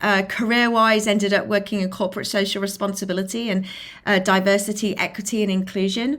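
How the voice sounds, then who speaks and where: A woman with a British accent, medium pitch and fairly even intonation, at a fairly quick pace. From England, Lincolnshire. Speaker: filmmaker and inclusion advocate. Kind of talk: interview.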